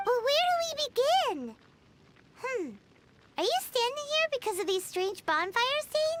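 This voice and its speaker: This is a put-on character voice, squeaky and extremely high in pitch. It comes with long, frequent pauses. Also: moderate pace. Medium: video game. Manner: chatty, curious.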